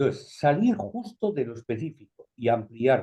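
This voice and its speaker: A man with a medium pitch and a dark, mellow tone sounds somewhat breathy as his pitch swings very widely. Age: 70s. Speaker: videoconference participant. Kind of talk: open discussion comment. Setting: video call.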